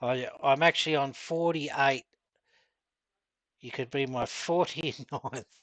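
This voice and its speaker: In an Australian accent, the speaker moves at a fairly slow pace with long, frequent pauses. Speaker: gaming streamer. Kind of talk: live stream chat.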